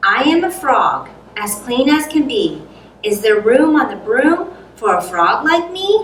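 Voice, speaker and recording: A woman puts on a croaky, high-pitched character voice. She speaks fairly slowly with very wide pitch swings. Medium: read story.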